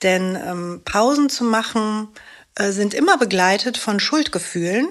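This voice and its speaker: A woman's ordinary speaking voice, medium-pitched and fairly slow, on a very clean recording with a silent background. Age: 50s. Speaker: actress and single mother with ADHD. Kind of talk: interview.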